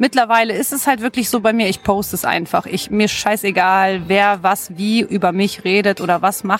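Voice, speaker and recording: Here is an ordinary speaking voice from a woman, pitched at a medium level. She moves at a moderate pace with fairly even intonation. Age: 30s. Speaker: blogger and mother. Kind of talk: interview.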